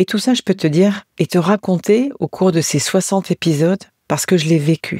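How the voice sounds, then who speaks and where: A woman with a fairly low pitch talks at a moderate pace in a dark, mellow, warm tone, with ordinary pitch variation and a dry, close sound with no echo. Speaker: podcast host, end-of-life care companion. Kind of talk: personal podcast monologue. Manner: warm, tender, intimate.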